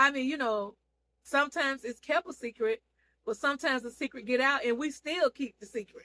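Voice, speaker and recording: The voice is raised and projected, with a bright, sharp, animated tone and ordinary pitch variation. It moves at a fairly quick pace, and the sound is dry and close with no echo. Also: woman, high pitch for a woman. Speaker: online seller and TV show reviewer. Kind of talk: casual vlog recap of a TV series.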